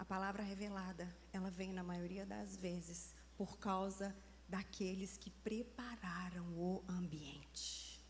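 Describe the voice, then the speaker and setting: Speaking at a very slow pace with a Minas Gerais accent, a woman is heard with audible echo from the room. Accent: Minas Gerais (mineiro) Brazilian Portuguese. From Brazil, Minas Gerais. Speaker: preacher. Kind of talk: sermon. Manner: animated.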